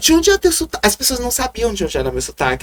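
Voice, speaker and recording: A man with a Maranhão accent speaks in an animated tone. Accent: Maranhão accent, sing-song. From Maranhão, northeastern Brazil. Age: 40s. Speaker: city councillor, former drag performer and radio host. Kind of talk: interview.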